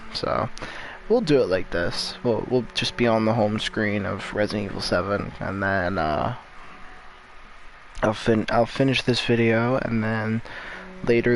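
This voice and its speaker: A man speaks quietly at a fairly slow pace. Noticeable background noise sits behind him. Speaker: gaming youtuber. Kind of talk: gameplay commentary. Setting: at another family's house at night. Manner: quiet, low volume; halting, filler-heavy.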